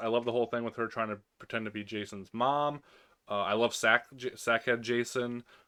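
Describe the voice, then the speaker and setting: A man speaks at a medium pitch in a very clean recording with a silent background. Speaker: movie reviewer. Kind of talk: casual ranking commentary. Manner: fast; hesitant, many fillers.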